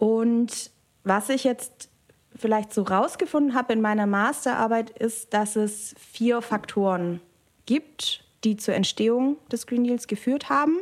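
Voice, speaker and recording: At a very slow pace, a woman talks with fairly high pitch and ordinary pitch variation. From Germany, Biberach (Upper Swabia). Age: 20s. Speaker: political scientist. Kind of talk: interview. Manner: hesitant fillers.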